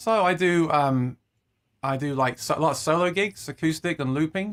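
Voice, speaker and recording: Here a man speaks with an English accent at a fairly high pitch. His pace is moderate, with ordinary pitch variation. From England, Suffolk (Leiston). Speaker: musician and YouTuber. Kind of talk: casual chat.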